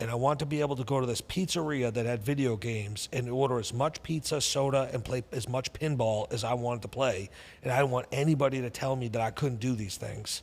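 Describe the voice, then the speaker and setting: A man in a Boston accent at medium pitch, very fast delivery and ordinary pitch variation. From New England, Boston area. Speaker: entrepreneur and investor. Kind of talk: interview storytelling.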